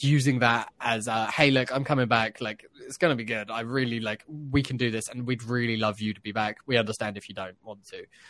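In a very clean recording with a silent background, a man speaks at a moderate pace. He has an ordinary speaking voice, a medium pitch and fairly even intonation. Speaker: podcast host. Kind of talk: casual chat.

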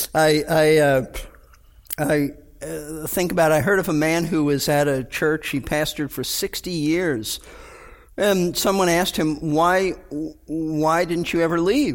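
With music in the background, a man talks at a fairly slow pace in a fairly high pitch and fairly even intonation. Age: 70s. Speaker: pastor. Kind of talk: casual chat.

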